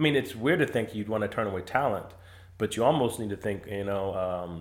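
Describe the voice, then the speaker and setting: In an ordinary speaking voice, a man talks at a fairly quick pace. His pitch is fairly low, with ordinary pitch variation. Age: 40s. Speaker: sports podcast host. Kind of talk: casual chat.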